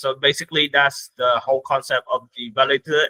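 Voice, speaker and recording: A man with a non-native accent talks at a fairly quick pace. His medium-pitched voice has a monotone, flat intonation. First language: not English. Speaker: crypto platform growth lead. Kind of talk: interview. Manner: halting.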